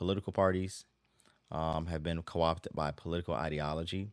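A man with a very deep, low pitch and an American accent, on a very clean recording with a silent background. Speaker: podcast host and Bible teacher. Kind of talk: solo podcast teaching. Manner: halting, with frequent filler words.

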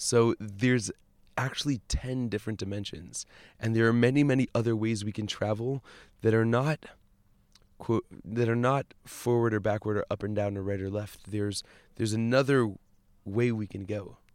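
On a very clean recording with a silent background, a man with an unremarkable speaking voice talks at a moderate pace and medium pitch with fairly even intonation. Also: dry, close sound with no echo. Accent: American. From US, Boston, Massachusetts. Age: 20s. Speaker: rabbi and musician. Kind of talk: casual spiritual conversation. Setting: outdoors.

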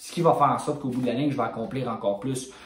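Over noticeable background noise and audible room echo, a man with a Quebec accent speaks at medium pitch with fairly even intonation. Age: 20s. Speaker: fitness coach and bodybuilder. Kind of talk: casual monologue podcast.

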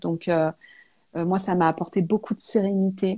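A woman's dark, mellow tone at a medium pitch, with fairly even intonation, in a very clean recording against a silent background. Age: 30s. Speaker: natural perfume brand founder. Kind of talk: interview. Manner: hesitant, many fillers.

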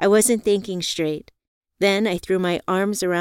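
In a natural reading voice with fairly even intonation, the speaker reads over a quiet background.

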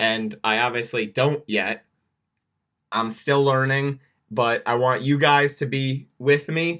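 A man's bright, sharp, medium-pitched voice at a very slow pace, with fairly even intonation, on a very clean recording with a silent background. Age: young. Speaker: student NFL podcast host. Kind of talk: solo sports podcast commentary.

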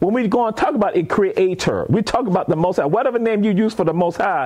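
A man with an American accent speaks in an animated tone. There is noticeable background noise. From coastal Georgia / South Carolina Lowcountry. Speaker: professor and museum founder. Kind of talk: casual interview chat.

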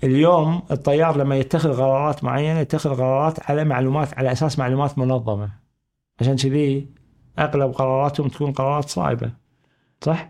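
A man speaks with a plain, everyday voice at a fairly high pitch, his intonation fairly even. The pace is moderate, the loudness very even, and the background quiet. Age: 50s. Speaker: management consultant. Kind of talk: casual interview chat.

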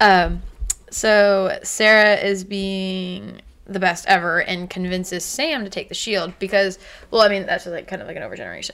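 A woman with a plain, everyday voice speaks at medium pitch and a moderate pace, her intonation fairly even. Her loudness swings widely on a very clean recording with a silent background. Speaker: podcast host. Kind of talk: casual chat.

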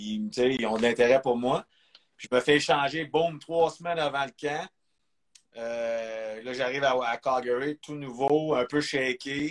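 A man at a medium pitch talks very slowly, his pitch varying in an ordinary way. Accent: Quebec. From Quebec. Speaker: former pro hockey player. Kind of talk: interview. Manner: halting.

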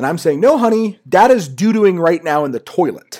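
Pitch swings very widely as a man with an American accent talks at a moderate pace. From Washington D.C. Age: 30s. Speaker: podcast host. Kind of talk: casual chat. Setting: home recording into a computer.

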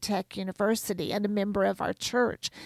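An unremarkable speaking voice comes through at a moderate pace, with a dry, close sound, no echo, and a very clean recording with a silent background. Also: woman. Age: 60s. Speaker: homeschool curriculum author. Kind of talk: radio interview.

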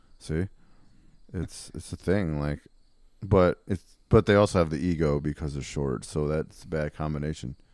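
A man's very deep, low voice with an American accent and ordinary pitch variation, in a dry, close sound with no echo. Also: moderate pace. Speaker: metal musician. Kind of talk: casual chat.

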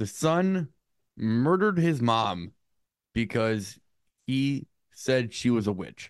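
This man talks at a very slow pace, his pitch swinging very widely, with long pauses coming often. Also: medium pitch for a man. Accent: American. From United States. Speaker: podcast co-host. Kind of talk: casual chat.

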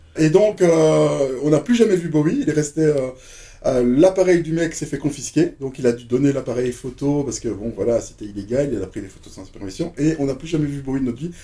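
Lively intonation and big swings in loudness run through a man's fairly quick speech, pitched fairly high with a dark, mellow tone. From Belgium (Brussels). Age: 50s. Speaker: DJ. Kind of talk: casual chat.

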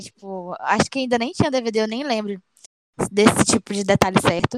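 In a dry, close sound with no echo, a woman with an unremarkable speaking voice talks at a fairly high pitch and a moderate pace, with ordinary pitch variation. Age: 20s. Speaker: tribute band member, podcast co-host. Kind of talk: casual chat.

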